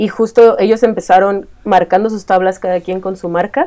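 This woman talks at a moderate pace in a central Mexican accent. Her medium pitch carries a dark, mellow tone and fairly even intonation. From Mexico, Estado de México. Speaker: illustrator. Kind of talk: casual chat.

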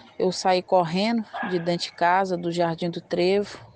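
A woman at medium pitch, very slow and flat, monotone in intonation, with noticeable background noise. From Minas Gerais, Brazil (Governador Valadares). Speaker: community resident, vegetable seller. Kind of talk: life story interview.

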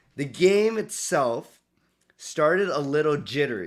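On a very clean recording with a silent background, a man speaks at a fairly high pitch. He has an ordinary speaking voice with lively intonation. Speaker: sports fan, host's son. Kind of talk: casual chat. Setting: home studio.

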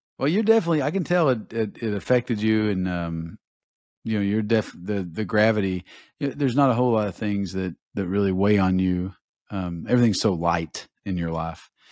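Fairly low in pitch with ordinary pitch variation, a man talks at a fairly quick pace in an ordinary speaking voice on a very clean recording with a silent background. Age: 40s. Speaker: podcast host. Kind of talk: casual chat.

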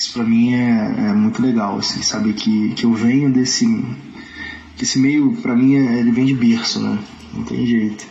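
Through audible room echo and noticeable background noise, a man talks at a moderate pace. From Nova Friburgo, Rio de Janeiro state, Brazil. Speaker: samba singer. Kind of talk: interview. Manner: halting, many fillers.

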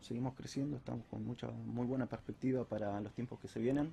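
Dark and mellow in tone, a man's medium-pitched voice sounds somewhat breathy, with fairly even intonation. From Rosario, Argentina. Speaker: architect. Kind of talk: interview.

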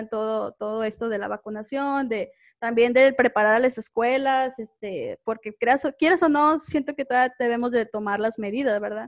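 Against a quiet background, a woman talks fairly quickly at a high pitch with ordinary pitch variation. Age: 20s. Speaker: schoolteacher, podcast co-host. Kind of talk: casual chat.

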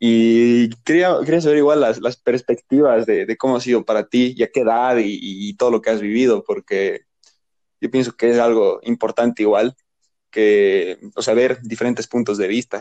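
Medium-pitched male voice, dark and mellow, at a moderate pace with ordinary pitch variation, dry and close with no echo. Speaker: podcast co-host. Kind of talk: casual chat.

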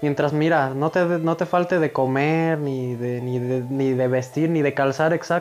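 A fairly high-pitched man at a moderate pace with fairly even intonation, music in the background. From Mexico, Michoacán (Villa Jiménez). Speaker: rapper. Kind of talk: interview, casual chat.

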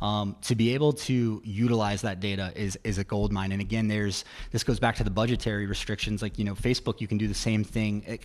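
With an American accent, a man speaks in an energetic tone at a very fast pace and a fairly low pitch. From Virginia, Roanoke. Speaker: digital marketing agency founder. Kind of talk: radio interview. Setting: radio studio.

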